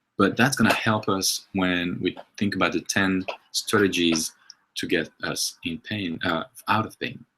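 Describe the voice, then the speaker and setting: A man speaks at a fairly slow pace with a French accent. His pitch is fairly low. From France. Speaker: movement and health coach. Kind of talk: webinar presentation. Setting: online webinar. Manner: halting, many fillers.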